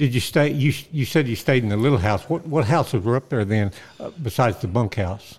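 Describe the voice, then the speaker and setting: A man with an Oklahoma accent speaks at a medium pitch, his somewhat breathy voice carried by lively intonation. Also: fairly quick pace. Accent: Oklahoma rural Southern US. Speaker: podcast co-host, western historian and songwriter. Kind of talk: casual chat.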